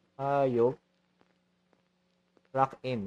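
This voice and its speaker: In a dry, close recording with no echo, a man speaks at a very slow pace and medium pitch. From Philippines. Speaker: vtuber game streamer. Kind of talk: gameplay commentary. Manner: code-switching Tagalog and English.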